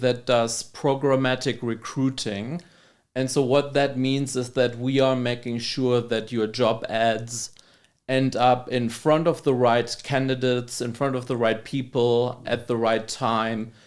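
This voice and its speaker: A man with a German accent talks at a fairly slow pace with fairly even intonation and medium pitch. The recording is very clean with a silent background. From Germany. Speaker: labor economist. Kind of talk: podcast interview.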